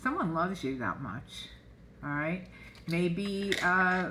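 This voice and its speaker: A woman with a bright, sharp tone speaks very slowly at medium pitch. Her intonation is lively, and the room echo is audible. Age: 70s. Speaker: tarot card reader. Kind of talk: casual oracle card reading to camera. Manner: chatty, informal with fillers.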